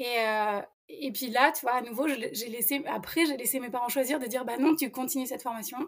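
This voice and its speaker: A woman's high-pitched voice at a fairly quick pace, with ordinary pitch variation. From France, Isère near Lyon. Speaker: career changer, fashion student. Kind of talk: interview testimony. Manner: halting, many hesitations.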